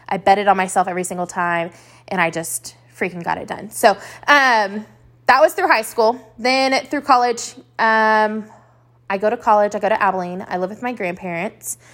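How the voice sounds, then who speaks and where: A woman at a medium pitch with a Texan accent, ordinary pitch variation, a moderate pace and big swings in loudness. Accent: Texan American. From West Texas (Lubbock). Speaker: boutique owner and podcast host. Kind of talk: solo monologue podcast.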